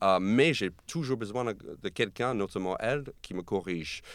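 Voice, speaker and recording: A man speaks with an American accent. His intonation is lively. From US, New York, Argentine parents. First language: English (speaking French). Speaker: comedian. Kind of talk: casual chat. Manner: halting.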